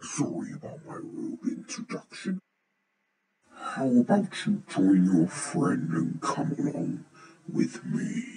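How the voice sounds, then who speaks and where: Using a put-on character voice at a fairly high pitch, a man speaks with long, frequent pauses. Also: fairly slow pace. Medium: audio drama. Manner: smug, gloating, theatrical.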